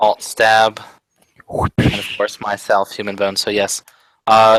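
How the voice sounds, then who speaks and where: In a dry, close sound with no echo, a man speaks very slowly at a fairly low pitch with flat, monotone intonation. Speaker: podcast host. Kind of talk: casual chat.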